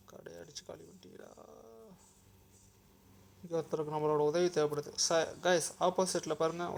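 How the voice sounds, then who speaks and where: The delivery is monotone with flat intonation but big swings in loudness. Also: man, fairly high pitch for a man. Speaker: mobile gamer. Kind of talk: casual gameplay commentary.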